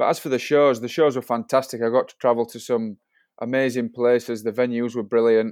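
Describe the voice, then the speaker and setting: Over a quiet background, a man talks at a fairly quick pace in a monotone, flat intonation, with big swings in loudness and a dry, close sound with no echo. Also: medium pitch for a man. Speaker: showjumper. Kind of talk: interview.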